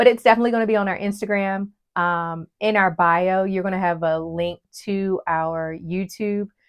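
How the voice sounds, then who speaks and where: Recorded very cleanly against a silent background, a woman with an unremarkable speaking voice talks at a moderate pace and medium pitch, her intonation fairly even. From West Virginia. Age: 40s. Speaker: podcast co-host. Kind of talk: casual chat.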